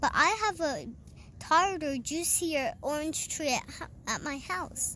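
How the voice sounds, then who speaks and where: A woman's high-pitched, put-on character voice at a fairly slow pace, with clear background noise. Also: ordinary pitch variation. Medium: read story.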